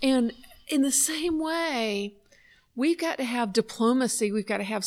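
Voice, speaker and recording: In a Southern US accent, a woman talks at a moderate pace in a fairly high pitch with ordinary pitch variation. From US South. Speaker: podcast co-host. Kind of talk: casual chat. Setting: conference venue.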